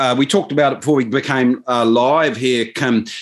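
A man with a New Zealand accent speaks against a quiet background. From New Zealand, Waikato (Maori). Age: 50s. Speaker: business advisor and political commentator. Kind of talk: casual interview chat.

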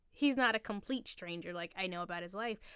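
With lively intonation, a woman speaks in a Philadelphia accent. She moves at a fairly quick pace. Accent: Philadelphia-area American. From Philadelphia area, Pennsylvania. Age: 20s. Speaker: barista. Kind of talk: casual chat. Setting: studio with microphones.

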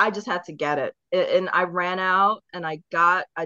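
A woman talks in a plain, everyday voice at a medium pitch. Her intonation is lively. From Baltimore, Maryland (moved from England as a child). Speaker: musician in an independent band. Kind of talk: casual chat; band promotion.

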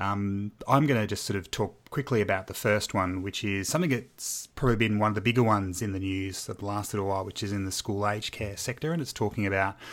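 The speech is very fast with hardly any pauses and ordinary pitch variation. It is a very clean recording with a silent background. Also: man, fairly low pitch for a man. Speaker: podcast host, teacher and operations manager. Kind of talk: casual chat.

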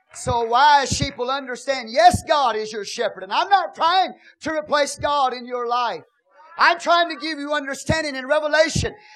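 Over noticeable background noise, a man with an American accent talks in an animated tone at an extremely high pitch and a moderate pace. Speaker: pastor. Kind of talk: Pentecostal-style sermon, exhorting congregation to praise mid-message. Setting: church service with live congregation. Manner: animated, call-and-response with amens and hallelujahs; playful, teasing the congregation with folksy humor.

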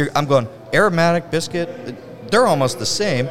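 Noticeable background noise accompanies a man whose moderately paced speech has lively intonation. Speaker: brewery owner. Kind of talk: casual interview. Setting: on site at a brewery.

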